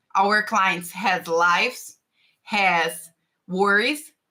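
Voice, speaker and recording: A bright, sharp tone with a Brazilian Portuguese accent. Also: woman. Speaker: tax and finance consultant. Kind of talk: live stream talk. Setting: live stream. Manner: halting.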